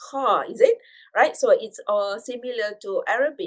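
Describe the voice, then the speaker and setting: A woman talks with a Malaysian accent. Her intonation is lively. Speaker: speech-language pathologist and lecturer. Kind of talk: radio interview. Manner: hesitant, many fillers.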